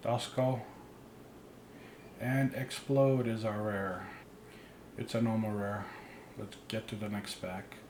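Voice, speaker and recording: Amid noticeable background noise and audible room echo, a man speaks very slowly at a medium pitch, with fairly even intonation and long, frequent pauses. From immigrant, grew up abroad. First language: not English. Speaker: card opening YouTuber. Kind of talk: pack opening commentary. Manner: casual.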